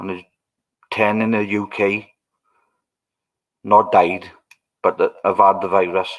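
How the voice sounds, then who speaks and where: Pausing long and often, a man with a Welsh accent talks at a fairly slow pace on a very clean recording with a silent background. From Wales. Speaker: livestreamer. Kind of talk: casual chat.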